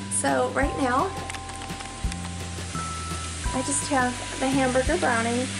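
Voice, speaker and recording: A woman at a fairly slow pace over clear music in the background. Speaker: home cooking vlogger. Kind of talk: casual vlog chat. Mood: friendly, relaxed. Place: kitchen. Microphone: phone near.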